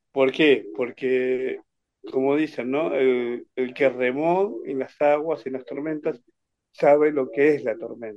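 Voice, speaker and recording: A man speaks at a very slow pace with a Rioplatense accent, his fairly high pitch moving in a fairly even intonation. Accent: Argentine Rioplatense Spanish. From Argentina, Buenos Aires province. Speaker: catechist and Facebook page administrator. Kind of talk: interview testimony. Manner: halting.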